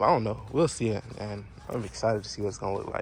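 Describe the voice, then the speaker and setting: A man talking at a fairly quick pace. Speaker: car enthusiast vlogger. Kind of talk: casual DIY vlog. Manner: fast; animated.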